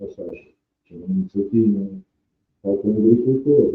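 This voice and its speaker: A man is speaking. Music plays behind him. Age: 60s. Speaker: winemaker. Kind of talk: interview. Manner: halting.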